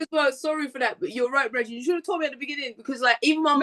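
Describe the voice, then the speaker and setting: Over a dry, close sound with no echo, a woman with a high pitch and a bright, sharp tone speaks at a very fast pace with big swings in loudness. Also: ordinary pitch variation. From Guyanese. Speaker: podcast guest. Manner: fast talker.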